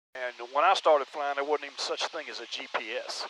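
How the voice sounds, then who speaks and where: His voice sits at a fairly high pitch for a man, with a bright, sharp tone. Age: 60s. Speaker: private pilot video creator. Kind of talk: casual instructional talk. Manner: casual, folksy.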